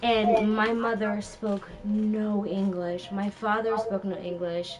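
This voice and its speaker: A woman with a Spanish accent speaks very slowly at a medium pitch in a monotone, flat intonation, with audible room echo and noticeable background noise. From Los Angeles, Inglewood (family from Peru). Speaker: gaming stream co-host. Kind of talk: casual chat.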